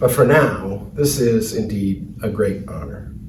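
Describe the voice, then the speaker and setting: With an American accent, a man speaks amid noticeable background noise. Audible room echo colors the recording. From US Midwest, Cleveland, Ohio. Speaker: award recipient. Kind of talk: acceptance speech. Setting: virtual ceremony, recorded video.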